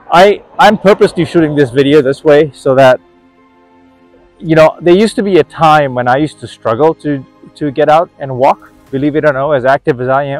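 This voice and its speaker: A man talks at a fairly quick pace with ordinary pitch variation. Faint music sits in the background, and the sound is dry with no echo. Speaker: wellness vlogger. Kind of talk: casual vlog chat. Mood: upbeat, encouraging. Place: street. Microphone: phone near.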